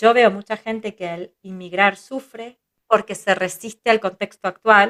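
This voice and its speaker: A woman with a medium pitch speaks with fairly even intonation, her loudness swinging widely. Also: fairly slow pace, dry, close sound with no echo. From Israel, raised in a kibbutz by Argentine parents. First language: Hebrew (speaking Spanish). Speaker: psychologist, family constellations teacher. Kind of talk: interview conversation.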